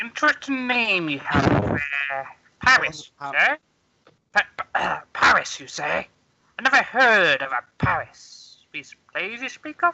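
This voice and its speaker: A put-on character voice with a fairly high pitch moves at a fairly slow pace, broken by long, frequent pauses. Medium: actual play. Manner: halting, formal.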